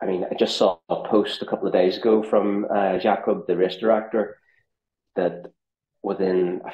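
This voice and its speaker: The speaker has a Northern Irish accent and fairly even intonation. The pace is moderate. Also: man. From Northern Ireland. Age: 40s. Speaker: ultrarunner and content creator. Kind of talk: podcast interview.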